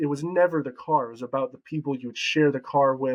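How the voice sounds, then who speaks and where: Speaking at a fairly quick pace, a man uses an unremarkable speaking voice with fairly high pitch. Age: 20s. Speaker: real estate agent. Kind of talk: interview.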